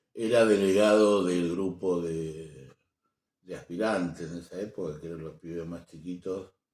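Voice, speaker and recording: A man with an Argentine accent speaks at a fairly slow pace in a very deep, low pitch, his intonation fairly even but his loudness swinging widely. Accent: Rioplatense Argentine Spanish. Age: 60s. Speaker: programmer and social activist. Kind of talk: interview. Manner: halting.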